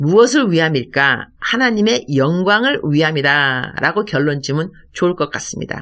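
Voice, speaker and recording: With a fairly low pitch, a woman speaks at a fairly slow pace in a bright, sharp and warm tone, her pitch swinging very widely. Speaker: missionary pastor. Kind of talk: devotional sermon. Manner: warm, repetitive.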